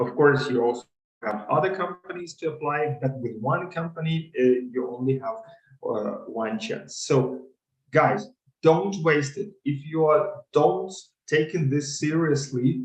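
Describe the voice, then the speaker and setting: At a fairly slow speed, a man talks in a somewhat breathy voice. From Ukraine. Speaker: consulting interview coach. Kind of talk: webinar. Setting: video call webinar.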